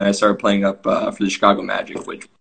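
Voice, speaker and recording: This is a man speaking with an American accent. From US Midwest, Champaign, Illinois. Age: 20s. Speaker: professional soccer player. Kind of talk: casual podcast interview.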